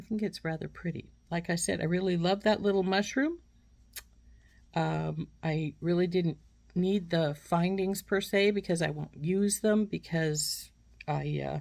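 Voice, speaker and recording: On a very clean recording with a silent background, a woman with a fairly low pitch speaks at a fairly slow pace with fairly even intonation, in a normal speaking voice. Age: 60s. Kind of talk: product unboxing review. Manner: casual, with frequent fillers.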